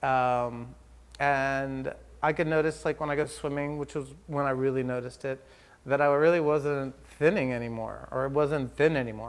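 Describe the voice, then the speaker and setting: Over a quiet background, a man with a fairly high pitch talks at a moderate pace with fairly even intonation. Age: 40s. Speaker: hairdresser. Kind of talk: testimony. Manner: hesitant, with many fillers.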